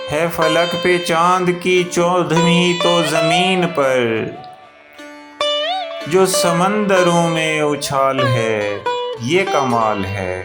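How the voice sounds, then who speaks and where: A high-pitched male voice with lively intonation and music in the background. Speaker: voice-over and spoken word artist. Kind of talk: poetry reading.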